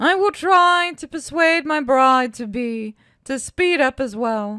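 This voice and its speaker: Speaking at a fairly slow pace, a female-sounding voice uses a put-on character voice pitched high. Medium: read story. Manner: measured, self-assured.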